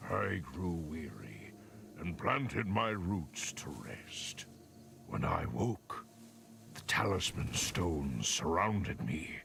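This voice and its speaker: A man puts on a booming character voice with a very deep, low pitch and a solemn tone, speaking at a very slow pace over clear background noise. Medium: video game. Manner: solemn, cryptic.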